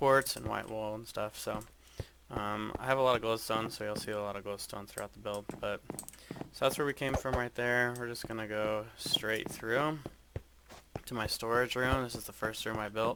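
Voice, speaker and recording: A man's flat, monotone voice at medium pitch and a moderate pace, with noticeable background noise. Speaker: gaming youtuber. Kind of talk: game walkthrough tour. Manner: casual, hesitant with fillers.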